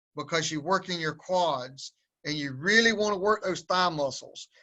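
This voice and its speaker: A man with a high-pitched voice in a strong Southern US accent. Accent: strong Southern drawl. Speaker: powerlifting coach. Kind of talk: webinar instruction.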